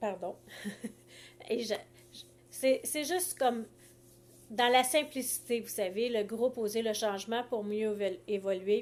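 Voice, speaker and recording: A woman with a Quebec accent speaks at a fairly slow pace and a fairly high pitch, with ordinary pitch variation. Her loudness swings widely, and she takes long, frequent pauses. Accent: Québécois French. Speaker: life coach. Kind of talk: live stream talk. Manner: halting.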